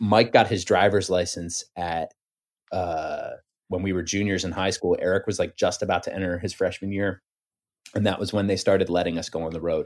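The recording is very clean with a silent background, and this man's delivery holds a moderate pace. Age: 30s. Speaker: musician. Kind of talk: casual chat.

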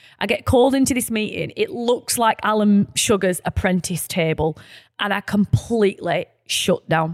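Here a woman speaks with a Lancashire accent. The sound is dry and close, with no echo. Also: medium pitch for a woman, ordinary pitch variation, moderate pace. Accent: northern English, Lancashire. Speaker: podcast co-host and founder. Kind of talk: casual chat. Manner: informal, laughing, self-deprecating.

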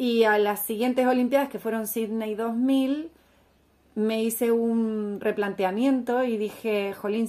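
A woman talks at a fairly slow pace with a dark, mellow tone. Her pitch is fairly high and her intonation fairly even. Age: 40s. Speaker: former Olympic swimmer and entrepreneur. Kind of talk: interview.

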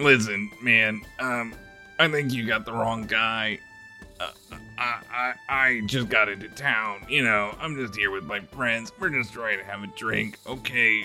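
A man uses a put-on character voice at a medium pitch and a fairly slow pace. Clear music plays in the background. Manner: exasperated, wants to be left alone.

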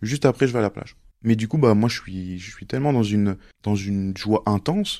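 Very clean recording of a man with a fairly low pitch, ordinary pitch variation, a dark, mellow tone, and a fairly quick pace, against a silent background. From Mayotte and Montluçon, France. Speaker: interviewee sharing life story. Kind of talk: casual interview. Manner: hesitant, with fillers.

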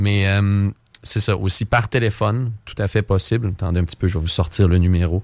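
This man has an ordinary speaking voice, fairly low in pitch with fairly even intonation. The recording is very clean, with a silent background. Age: 20s. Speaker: game pub supervisor. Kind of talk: radio interview, casual.

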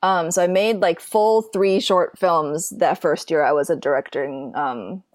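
A plain, everyday voice: a woman's fairly low pitch, lively intonation, very even loudness and a fairly slow pace, on a very clean recording with a silent background. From Minnesota, US Midwest. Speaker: film and TV director. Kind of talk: casual interview.

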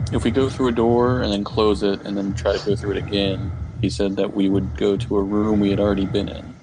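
A man with a fairly low pitch talks at a fairly quick pace, his intonation fairly even, as noticeable background noise carries on behind. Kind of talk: in-character roleplay at a tabletop game, casual banter. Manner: dry, sarcastic, wisecracking.

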